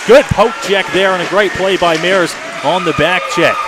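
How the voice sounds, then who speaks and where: A man is speaking. Noticeable background noise runs behind him. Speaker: radio play-by-play announcer. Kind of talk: live hockey play-by-play commentary. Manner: fast, energetic.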